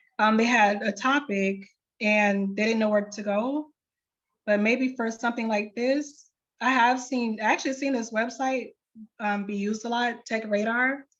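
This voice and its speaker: A woman with an ordinary speaking voice talks at a moderate pace in a fairly high pitch. Her intonation stays fairly even. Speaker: librarian. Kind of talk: tutorial.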